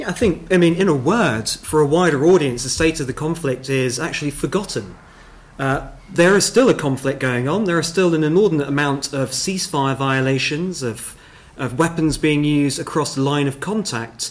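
A man keeps a moderate pace, his pitch varying in an ordinary way. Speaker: panel expert. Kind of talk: panel discussion answer. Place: meeting room. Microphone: podium.

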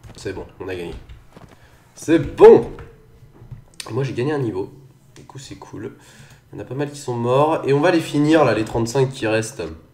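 The speech is fairly slow, with long, frequent pauses and big swings in loudness. Pitch varies in an ordinary way, and there is audible room echo. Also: man, medium pitch for a man. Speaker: gaming youtuber. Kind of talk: let's play commentary. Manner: casual, hesitant with fillers.

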